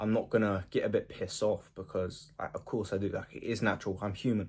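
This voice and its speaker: A quiet man at a fairly quick pace. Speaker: self-improvement vlogger. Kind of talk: casual monologue. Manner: casual, filler-heavy.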